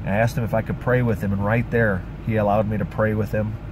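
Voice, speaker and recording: A man at medium pitch and a fairly quick pace, with audible room echo and noticeable background noise. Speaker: pastor and street preacher. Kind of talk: testimony. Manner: animated.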